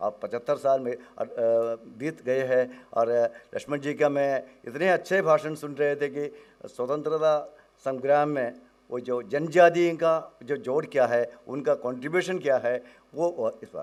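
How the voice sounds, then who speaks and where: The man's voice sits fairly high in pitch and shows ordinary pitch variation. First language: Malayalam (speaking Hindi). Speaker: professor, academic researcher. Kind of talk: conference talk. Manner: halting, code-switching Hindi and English.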